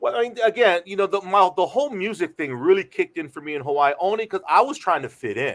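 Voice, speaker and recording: A man with an American accent at a very fast pace, high pitch and lively intonation, with hardly any pauses. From San Francisco Bay Area, US. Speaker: radio DJ. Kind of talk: casual chat.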